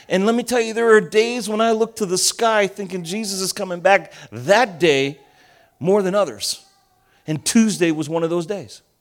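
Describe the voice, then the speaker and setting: In a New Jersey accent, a man with a high pitch talks at a moderate pace in an animated tone with ordinary pitch variation. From US Northeast (Elizabeth, New Jersey), Argentinian family. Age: 50s. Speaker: pastor. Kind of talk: sermon.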